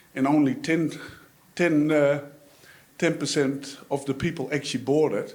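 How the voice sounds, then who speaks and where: A man's fairly high voice with a Dutch accent, fairly even intonation and long, frequent pauses. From Netherlands. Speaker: audience member, dairy farmer. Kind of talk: audience question at panel discussion.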